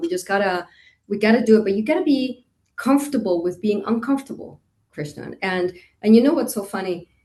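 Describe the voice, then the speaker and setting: Lively intonation marks this woman's medium-pitched, unremarkable speaking voice. She talks at a fairly quick pace. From Costa Rica, moved to Indiana at 13. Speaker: hotel industry executive. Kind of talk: interview.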